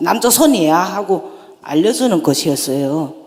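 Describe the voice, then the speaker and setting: Speaking at a very slow pace with a North Korean accent, a woman lets her pitch swing very widely. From North Korea, North Hamgyong. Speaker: North Korean defector speaker. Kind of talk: public talk.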